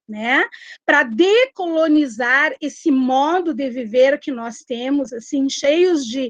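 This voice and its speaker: Very slowly, a woman speaks in a high voice. Her pitch varies in an ordinary way. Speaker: popular educator. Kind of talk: online discussion.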